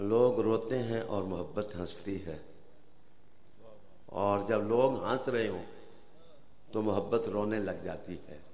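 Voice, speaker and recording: Amid noticeable background noise and audible room echo, a man with a fairly low voice speaks with fairly even intonation and long, frequent pauses. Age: 60s. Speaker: religious speaker. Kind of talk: religious speech. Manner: formal.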